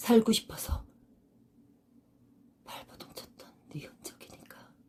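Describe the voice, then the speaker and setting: Whispering at a very slow pace. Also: woman. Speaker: senior actress. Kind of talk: dramatic monologue, audition reel. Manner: earnest, emotional, consoling.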